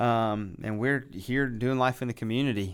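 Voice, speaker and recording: A man speaks at a moderate pace with an American accent. The recording is very clean, with a silent background. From West Virginia. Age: 30s. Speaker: pastor. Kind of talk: casual chat.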